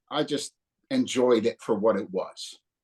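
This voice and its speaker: A man with a New Jersey accent talks at a fairly slow pace with very wide pitch swings. The sound is dry and close, with no echo. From northern New Jersey. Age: 60s. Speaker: punk guitarist. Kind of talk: casual interview.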